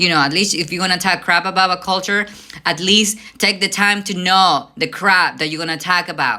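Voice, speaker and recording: A woman with a Mexican accent speaks at a fairly quick pace in a bright, sharp, animated tone with a fairly low pitch. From Mexico, Veracruz. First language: Spanish. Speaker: vlogger. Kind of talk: casual rant.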